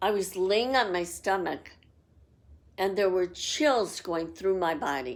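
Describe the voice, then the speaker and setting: A woman with an American accent at medium pitch, lively intonation and a very slow pace. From Los Angeles, US. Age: 60s. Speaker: psychic. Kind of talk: personal storytelling.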